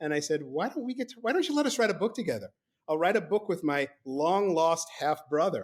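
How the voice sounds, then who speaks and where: Speaking fairly quickly in a high pitch with very wide pitch swings and a slight New York accent, a man is heard on a very clean recording with a silent background. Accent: faint New York. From New York (Brooklyn), teens in Mexico City. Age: 60s. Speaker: author. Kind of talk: podcast interview, storytelling. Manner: halting, repeats words.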